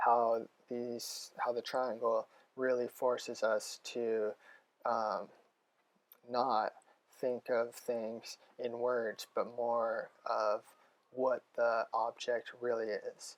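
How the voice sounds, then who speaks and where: A man with an American accent at a very slow pace, long, frequent pauses, and a dry, close sound with no echo. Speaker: college student. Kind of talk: reading aloud from journal entries. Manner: hesitant, many ums.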